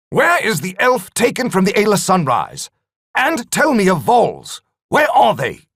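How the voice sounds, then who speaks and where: In a put-on character voice, a man talks at a moderate pace with a high pitch. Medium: read story. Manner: cold, controlled.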